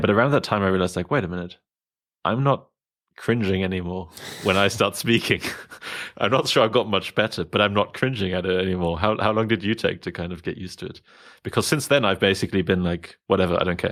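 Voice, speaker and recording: In a very clean recording with a silent background, a man talks at a very fast pace. He has a fairly low pitch, ordinary pitch variation and a slight German accent. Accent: slight German, taken for South African. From Germany. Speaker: podcast host. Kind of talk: casual interview conversation. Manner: hesitant, many fillers.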